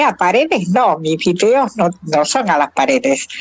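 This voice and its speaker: A woman speaks with a Rioplatense accent. Her intonation is lively. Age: 70s. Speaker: retired math professor. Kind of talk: interview.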